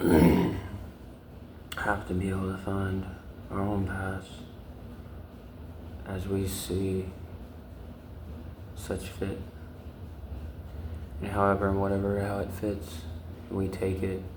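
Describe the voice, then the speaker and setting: A very deep, low-pitched man speaking at a fairly slow pace in a monotone, flat intonation, with long, frequent pauses and noticeable background noise. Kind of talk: ASMR video with soft-spoken affirmations and tapping. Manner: slow, repetitive, contemplative.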